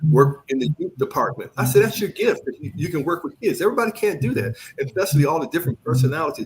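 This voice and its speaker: A man with an American accent, fairly high-pitched, at a very fast pace with lively intonation. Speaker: pastor. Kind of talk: interview. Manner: mumbling.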